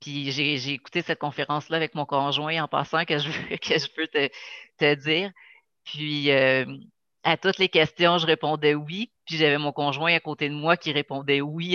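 A woman's very deep, low voice with a bright, sharp tone, fairly even intonation and a moderate pace, dry and close with no echo over a quiet background. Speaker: podcast host. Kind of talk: interview. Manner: halting.

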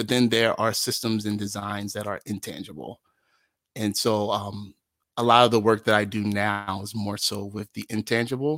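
A man's fairly low voice with an American accent, an ordinary speaking voice at a moderate pace with fairly even intonation. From South Jersey, US. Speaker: founder of a community gathering space, vocal improviser. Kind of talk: casual interview.

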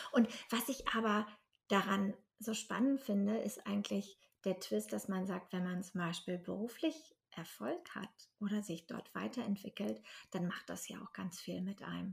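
With vocal fry and medium pitch, a woman talks at a fairly slow pace with ordinary pitch variation. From northern Germany. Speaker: podcast host, platform founder. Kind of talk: casual interview. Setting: wearing headphones.

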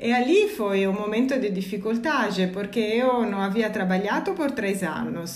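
A woman speaks at a fairly slow pace with an Italian accent, her pitch medium with ordinary variation. Noticeable background noise and audible room echo fill the recording. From Italy. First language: Italian (speaking Portuguese). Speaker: energy company employee. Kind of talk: casual chat. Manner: halting.

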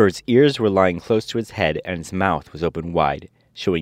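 Pitch varies in an ordinary way as an unforced reading voice carries on.

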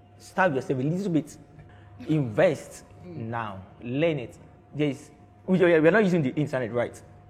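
Over music in the background, a man with a fairly high pitch talks at a moderate pace with lively intonation and long, frequent pauses. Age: 20s. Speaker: brand strategist. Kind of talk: casual chat. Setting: studio.

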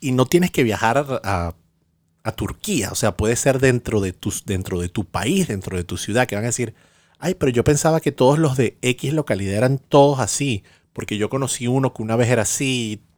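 A man speaks in a Venezuelan accent at a medium pitch and a moderate pace. His intonation is lively, and the sound is dry and close with no echo. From Venezuela, Caracas. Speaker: podcast co-host. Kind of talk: casual chat.

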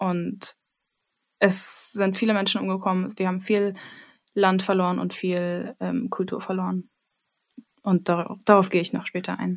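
At a fairly slow pace and with long, frequent pauses, a woman speaks at a medium pitch with monotone, flat intonation. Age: 20s. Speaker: music education student. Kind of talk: casual chat.

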